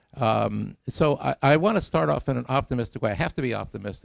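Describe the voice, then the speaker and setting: A man's medium-pitched voice with vocal fry, recorded dry and close with no echo. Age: 70s. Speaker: scientist giving a public talk. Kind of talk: lecture. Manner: halting.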